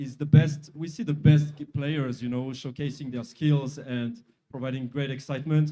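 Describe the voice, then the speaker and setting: A man's fairly high, dark and mellow voice in a French accent, at a moderate pace with ordinary pitch variation. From France. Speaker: sponsor executive. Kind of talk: interview.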